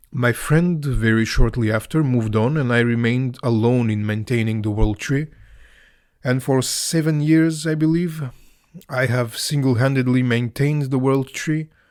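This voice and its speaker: A man speaks in a Balkan accent. The recording is very clean, with a silent background. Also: medium pitch for a man, ordinary pitch variation, moderate pace. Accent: Balkan Slavic. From Macedonia. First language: Serbian or Macedonian. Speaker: author and YouTuber on Slavic mythology. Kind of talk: scripted podcast monologue. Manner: some hesitations and fillers.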